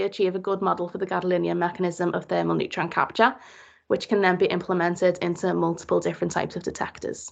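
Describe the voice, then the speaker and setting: A woman talks in a Liverpool accent at a very fast pace. The background is quiet. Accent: Liverpool (Scouse). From Liverpool, England. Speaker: PhD student. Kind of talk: presentation.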